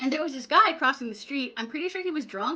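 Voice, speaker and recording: With a raised, projected voice, a woman speaks in a bright, sharp, animated tone with lively intonation over a quiet background. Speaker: streamer. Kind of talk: live stream chat reading confessions.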